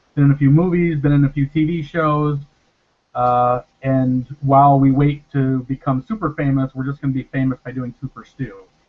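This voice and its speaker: A man with an American accent in a normal speaking voice, fairly high in pitch, at a moderate pace with fairly even intonation. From northern Illinois, US. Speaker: actor. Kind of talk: casual chat.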